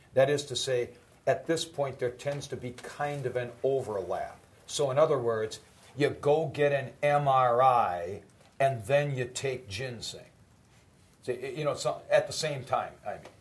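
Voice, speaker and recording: Somewhat breathy and fairly slow, the voice shows ordinary pitch variation amid audible room echo. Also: man, fairly high pitch for a man. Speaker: college professor. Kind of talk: lecture.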